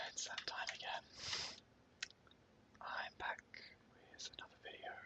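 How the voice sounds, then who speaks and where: Whispering fairly slowly, a man speaks. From Australia. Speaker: 3D artist. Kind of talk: ASMR whispered tutorial. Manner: whispered, soft-spoken, slow.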